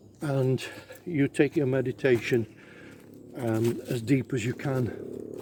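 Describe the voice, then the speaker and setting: A man at medium pitch speaks with a dark, mellow tone that is somewhat breathy. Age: 70s. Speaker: spiritual medium. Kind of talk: casual vlog tutorial. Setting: outdoors in woods. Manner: hesitant, many fillers.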